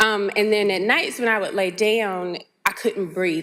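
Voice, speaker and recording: On a very clean recording with a silent background, a woman speaks with a bright, sharp tone. Her pitch is medium and her pace fairly quick. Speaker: heart disease survivor. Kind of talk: personal testimony. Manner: fast; halting, many fillers.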